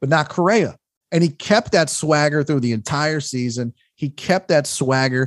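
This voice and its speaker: A man's ordinary speaking voice, fairly high in pitch, with ordinary pitch variation, a moderate pace and a dry, close sound with no echo. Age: 40s. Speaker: stand-up comedian and sports radio host. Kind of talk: casual interview chat. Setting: remote call.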